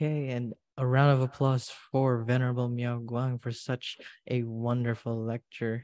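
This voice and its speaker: A man speaks with a Filipino accent. His pace is fairly slow, and the background is quiet. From Philippines. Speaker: event emcee; webinar moderator. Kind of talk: event hosting; moderating, reading audience question. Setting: online livestream. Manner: animated. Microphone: video call.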